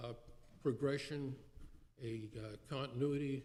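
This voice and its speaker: Fairly high male voice, with room echo clearly audible. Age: 80s+. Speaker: city council member. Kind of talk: council meeting speech. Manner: halting, many fillers.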